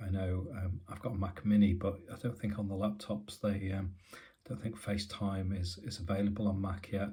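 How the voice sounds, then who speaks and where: Somewhat breathy and dark, mellow in tone, the voice moves at a fairly quick pace with fairly even intonation amid audible room echo. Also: man. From UK. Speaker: tech YouTuber. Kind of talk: casual tech review. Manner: halting, many fillers.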